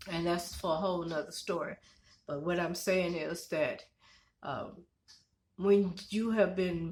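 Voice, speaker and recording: A somewhat breathy, fairly low woman's voice at a fairly slow pace, with fairly even intonation and long, frequent pauses. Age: 60s. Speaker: tarot reader and spiritual channel host. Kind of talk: spiritual reading monologue. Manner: halting, many fillers.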